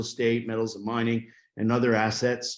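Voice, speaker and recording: Talking at a fairly quick pace, a man of medium pitch speaks with a New York accent. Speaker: private equity investor. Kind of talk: panel discussion.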